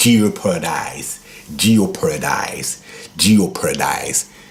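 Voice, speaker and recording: A man with a Congolese accent speaks in a fairly low voice and with lively intonation while music plays in the background. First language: Lingala. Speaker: guitar teacher. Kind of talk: tutorial.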